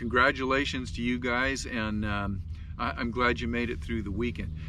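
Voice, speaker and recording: The intonation is lively. Audible room echo is present. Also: man, medium pitch for a man. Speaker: fishing show host. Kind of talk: fishing report monologue. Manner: fast; casual, with fillers.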